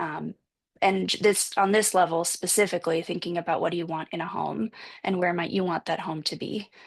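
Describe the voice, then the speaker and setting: Her voice is fairly low for a woman, with vocal fry. She talks at a fairly quick pace with fairly even intonation. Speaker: panelist presenting on a support group. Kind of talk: panel presentation with slides. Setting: video call.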